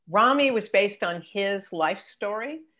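A woman with a General American accent, lively intonation and a fairly slow pace against a quiet background. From Los Angeles. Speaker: entertainment career coach and TV executive; entertainment career coach. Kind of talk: interview. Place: home room. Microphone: video call.

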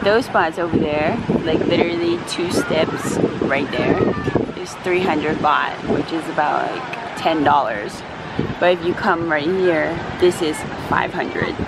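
Against loud background noise, a woman speaks at a very slow pace with ordinary pitch variation in a dry sound with no echo. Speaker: vlogger. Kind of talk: casual vlog chat. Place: beach. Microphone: phone near.

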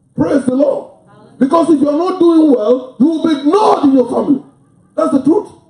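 A man's extremely high voice at a moderate pace, with ordinary pitch variation and very even loudness, audible room echo over a quiet background. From Africa. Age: 60s. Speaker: pastor. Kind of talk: sermon; prayer. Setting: church. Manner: animated. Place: church.

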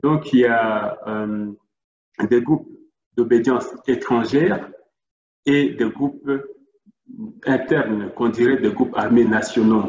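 Speaking at a very slow pace with long, frequent pauses, a man uses ordinary pitch variation in a room with audible echo and a quiet background. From Democratic Republic of the Congo. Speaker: NGO worker; presenter. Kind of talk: presentation. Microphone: video call.

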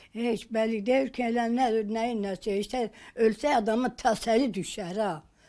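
Her voice is fairly high for a woman, with a dark, mellow tone and ordinary pitch variation. She talks at a very slow pace against a quiet background. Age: 80s+. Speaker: elderly village woman awaiting her missing husband. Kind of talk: interview answer. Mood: sorrowful, pleading. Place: home room.

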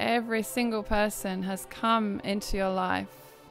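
There is music in the background as a woman speaks at a very slow pace. Her pitch is medium, with ordinary pitch variation. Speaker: spiritual guide and healer. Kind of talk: guided meditation. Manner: slow, soft-spoken.

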